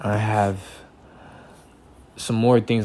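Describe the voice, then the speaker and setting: With an American accent, this man talks fairly slowly in a fairly low, monotone voice with flat intonation. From Texas, Houston. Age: 30s. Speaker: independent music creator. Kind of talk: self-interview monologue. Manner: casual, halting with repetitions.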